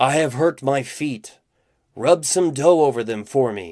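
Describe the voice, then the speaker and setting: Doing a put-on character voice at a medium pitch, a man growls at a fairly slow pace on a very clean recording with a silent background. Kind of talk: fairy-tale storytelling voice. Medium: read story. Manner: deceptive, wheedling.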